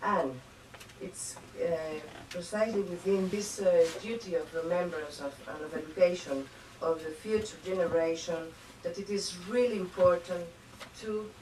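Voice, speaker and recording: A woman's fairly low voice in a Spanish accent, at a fairly slow pace, with audible room echo and noticeable background noise. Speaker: diplomat. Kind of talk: formal speech. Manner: halting, many fillers.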